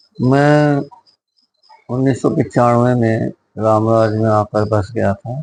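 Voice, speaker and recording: A man's medium-pitched voice, fairly even in intonation, with long, frequent pauses. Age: 60s. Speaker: schoolteacher. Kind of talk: moral talk to camera.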